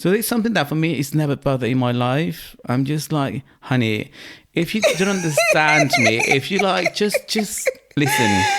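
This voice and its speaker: Very even in loudness, a man's fairly high voice moves through very wide pitch swings over noticeable background noise. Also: moderate pace. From Mexico. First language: Spanish. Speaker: podcast guest. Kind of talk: casual chat.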